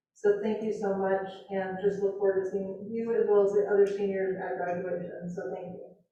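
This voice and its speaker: Hardly any pauses break this speech, which moves at a moderate pace. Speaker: school board director. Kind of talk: board meeting remarks. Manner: loud.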